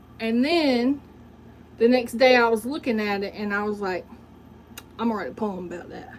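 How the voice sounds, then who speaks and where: A woman with a Southern US accent speaks at a moderate pace in a fairly high pitch, animated in tone with ordinary pitch variation. Big swings in loudness and long, frequent pauses come through over noticeable background noise. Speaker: livestreamer and poet. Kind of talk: casual livestream monologue.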